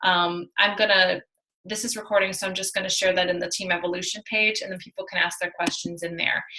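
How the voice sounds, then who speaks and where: A woman speaks at a very fast pace with a medium pitch. Her intonation is monotone and flat. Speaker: team leader of fitness coaches. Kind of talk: team call presentation. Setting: video call.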